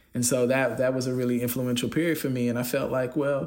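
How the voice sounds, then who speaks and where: A man speaks at a medium pitch and a fairly quick pace in a normal speaking voice. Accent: American. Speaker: cinematographer. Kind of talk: interview conversation.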